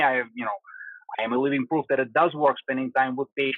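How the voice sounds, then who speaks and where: A man speaks in a Russian accent with a fairly high pitch. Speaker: spinal surgeon. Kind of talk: interview answer.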